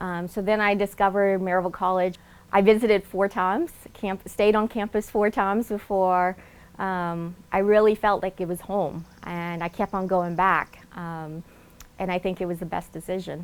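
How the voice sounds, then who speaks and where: In a very clean recording with a silent background, a woman with a slight Southern US accent speaks at a medium pitch and moderate pace, in monotone, flat intonation. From Laos, raised in Nashville, Tennessee. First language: Lao. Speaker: alumna award recipient, doctor. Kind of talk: interview testimony.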